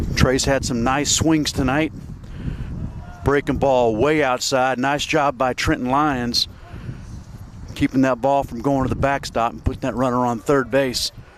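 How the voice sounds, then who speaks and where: Over noticeable background noise, a man talks at a fairly slow pace with long, frequent pauses and a monotone, flat intonation. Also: medium pitch for a man. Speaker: baseball play-by-play announcer. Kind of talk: live commentary.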